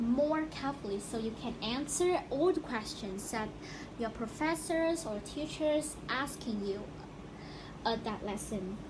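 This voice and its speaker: A woman's high-pitched voice with lively intonation at a fairly slow pace, over noticeable background noise. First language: not English. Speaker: student podcaster. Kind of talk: casual educational podcast talk.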